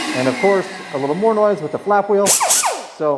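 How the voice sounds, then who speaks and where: A man's energetic, fairly quick speech with very wide pitch swings over noticeable background noise. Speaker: dirt bike builder and video host. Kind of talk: workshop tutorial. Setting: enclosed workshop. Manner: casual, energetic.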